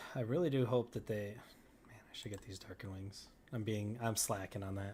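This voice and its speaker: Somewhat breathy and dark, mellow in tone, a man talks at a fairly quick pace in a fairly low pitch with ordinary pitch variation. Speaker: video game streamer. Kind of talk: live stream chat answering viewer questions. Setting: live stream. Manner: halting, stuttering.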